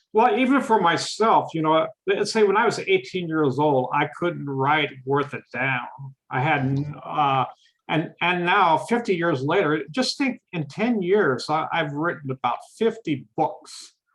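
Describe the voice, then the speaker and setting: A plain, everyday voice at a fairly slow pace with lively intonation. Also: man, fairly high pitch for a man. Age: 60s. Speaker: author. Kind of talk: casual chat.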